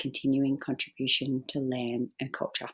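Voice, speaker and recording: Recorded very cleanly against a silent background, a woman with an Australian accent speaks at a very deep, low pitch. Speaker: photographer and arts organisation founder. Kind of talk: pre-recorded presentation. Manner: formal.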